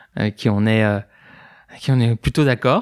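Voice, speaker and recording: On a very clean recording with a silent background and a dry, close sound with no echo, a man speaks at medium pitch with monotone, flat intonation. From Belgium. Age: 20s. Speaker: psychologist. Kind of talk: interview testimony. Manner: hesitant, many fillers.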